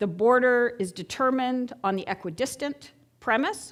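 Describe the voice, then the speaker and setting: The recording is very clean, with a silent background. A woman with a plain, everyday voice speaks with lively intonation at a fairly high pitch. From Canada, Montreal, Quebec. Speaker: geopolitics lecturer. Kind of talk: lecture. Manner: conversational, audience-engaging.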